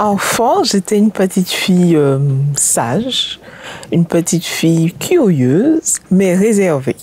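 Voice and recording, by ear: Her pitch is fairly low and swings widely as this woman speaks at a slow pace. Her tone is slightly mellow with a slightly husky edge.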